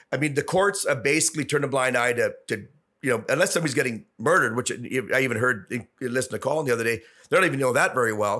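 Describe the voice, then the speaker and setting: A man with a medium pitch and a bright, sharp tone speaks at a very fast pace. His pitch variation is ordinary, on a very clean recording with a silent background. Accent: Canadian. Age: 60s. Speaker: businessman and former city councillor. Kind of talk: podcast interview.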